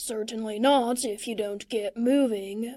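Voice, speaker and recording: A put-on character voice from a woman, pitched fairly high. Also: fairly slow pace. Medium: read story. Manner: gruff, mild.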